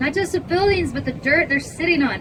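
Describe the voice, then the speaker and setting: Noticeable background noise sits under a woman with an American accent and lively intonation. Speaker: tour guide. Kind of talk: guided tour narration. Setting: outdoors.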